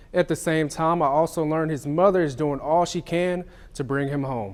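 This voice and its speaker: This man has a plain, everyday voice, fairly high in pitch with ordinary variation, at a moderate pace. The recording is very clean, with a silent background. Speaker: TV news multimedia journalist. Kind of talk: TV news stand-ups and live shots.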